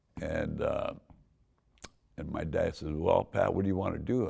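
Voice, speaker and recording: A man with a Southern California accent at a moderate pace. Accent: Southern California, LA Harbor area. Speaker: car club founder. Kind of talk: storytelling. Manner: animated.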